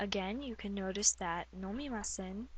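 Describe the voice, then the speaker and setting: A woman with an American accent speaks at a medium pitch and sounds somewhat breathy. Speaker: Japanese language teacher. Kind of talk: language tutorial talk to camera. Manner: casual, upbeat.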